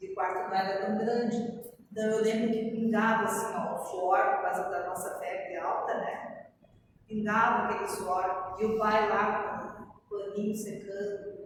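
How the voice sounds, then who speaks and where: With audible room echo, a woman talks at a fairly slow pace in a medium pitch, her intonation monotone and flat. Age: 60s. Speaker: spiritist lecturer. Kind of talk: lecture. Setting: spiritist center.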